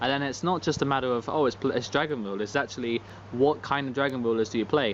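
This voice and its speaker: A man with a British accent talks at a fairly quick pace in a medium pitch. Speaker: card game youtuber. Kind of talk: casual vlog commentary. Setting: outdoors. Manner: monotone.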